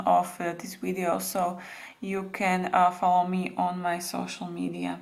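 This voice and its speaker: The speaker has a non-native accent. Room echo is audible. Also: woman. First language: not English. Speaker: beading tutorial creator. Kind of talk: tutorial. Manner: halting, many fillers.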